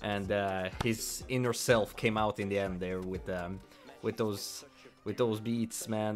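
Music plays behind a man speaking at a fairly slow pace. His pitch is fairly low and his intonation fairly even. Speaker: reaction streamer. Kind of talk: casual reaction commentary. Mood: admiring, moved. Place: home room. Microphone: studio mic.

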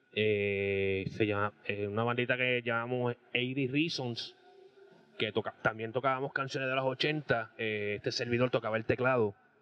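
Over faint background music, a man speaks at a fairly slow pace and medium pitch, the sound dry with no echo. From Puerto Rico, Aibonito; Puerto Rico. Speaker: rock band keyboardist; guest. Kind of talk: casual interview. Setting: restaurant. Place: bar. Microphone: handheld.

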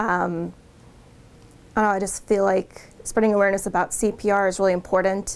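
A woman's very fast, monotone delivery with flat intonation. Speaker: 911 dispatcher. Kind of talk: interview answer. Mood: earnest, emotional about CPR. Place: office.

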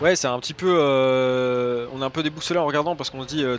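A man's voice at a moderate pace, fairly even in intonation, dry with no echo, over light background noise. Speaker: esports co-caster. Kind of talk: live esports commentary. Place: home room. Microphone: headset.

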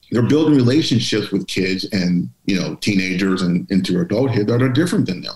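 With an American accent, a man talks at a moderate pace in a fairly low pitch with lively intonation, and audible room echo surrounds his voice. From Pittsburgh, Pennsylvania. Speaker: author and diversity speaker; speaker. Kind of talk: interview. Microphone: video call.

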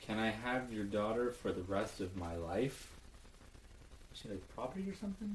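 Over light background noise, a man speaks in a deadpan tone at a moderate pace and a fairly low pitch. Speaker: comedy video maker. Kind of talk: comedic dry reading of song lyrics. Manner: monotone, deadpan, dry. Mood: ironic, mock serious. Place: home room. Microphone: webcam.

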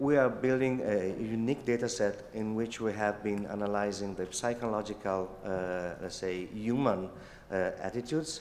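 The delivery moves at a moderate pace with few pauses, a slightly mellow tone and ordinary pitch variation. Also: man, fairly low pitch for a man.

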